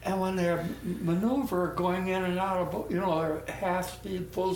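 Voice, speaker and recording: Noticeable background noise under speech at a very slow pace. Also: man. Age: 80s+. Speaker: war veteran, former merchant marine. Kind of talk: interview answer.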